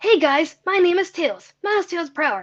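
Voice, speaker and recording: In a put-on character voice, the speaker uses an extremely high pitch at a moderate pace. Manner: cheerful, introducing himself.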